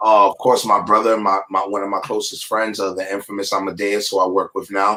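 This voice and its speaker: Bright and sharp in tone, a man with an American accent speaks fairly low and fairly quickly in a monotone, flat way. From New York, the Bronx. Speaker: rapper. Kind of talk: interview.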